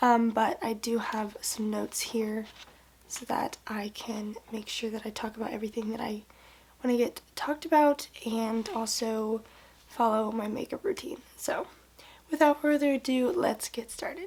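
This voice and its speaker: With noticeable background noise, a woman talks at a moderate pace in a fairly high pitch with ordinary pitch variation. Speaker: lifestyle vlogger. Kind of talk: casual chat.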